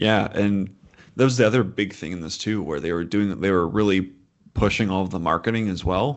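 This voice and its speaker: A man's fairly low voice at a fairly quick pace, a plain, everyday voice. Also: ordinary pitch variation. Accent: American. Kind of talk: casual chat about upcoming films.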